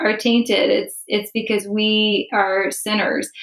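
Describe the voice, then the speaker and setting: Speaking very slowly, a woman talks with an American accent. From US Midwest, Chicago. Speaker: Bible teacher trainer. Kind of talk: casual chat.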